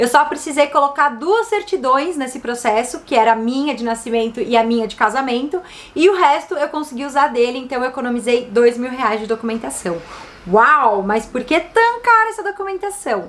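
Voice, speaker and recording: With a São Paulo accent, a woman speaks at a high pitch and a moderate pace, her upbeat tone and lively intonation heard over noticeable background noise. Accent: Brazilian Portuguese, São Paulo. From São Paulo city, Brazil. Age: 30s. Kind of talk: casual talk to camera.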